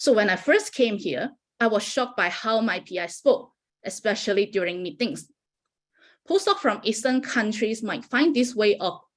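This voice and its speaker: A woman's fairly high voice with a Malaysian accent, lively intonation and a moderate pace, on a very clean recording with a silent background. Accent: Malaysian accent, noticeable. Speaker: postdoctoral researcher. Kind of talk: prepared talk.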